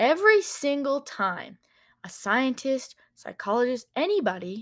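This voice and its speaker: A woman speaks in an animated tone. Her pitch swings very widely. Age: young. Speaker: podcaster. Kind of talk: casual monologue. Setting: in bed at home.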